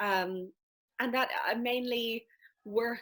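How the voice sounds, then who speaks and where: A woman speaks with a strong Irish accent. Her pitch varies in an ordinary way. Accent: thick Irish. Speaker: life and business coach. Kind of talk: casual interview chat.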